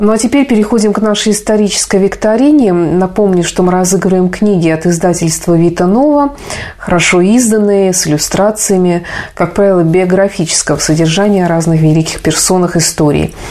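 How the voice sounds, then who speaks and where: A woman speaks at a fairly quick pace and medium pitch, with ordinary pitch variation, very even loudness and noticeable background noise. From Saint Petersburg, Russia. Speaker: radio presenter. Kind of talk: radio presenting. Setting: radio studio.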